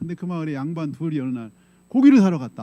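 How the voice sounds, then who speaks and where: This man talks at a very fast pace with very wide pitch swings. His tone is dark and mellow. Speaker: pastor. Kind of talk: sermon. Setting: church. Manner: conversational, storytelling.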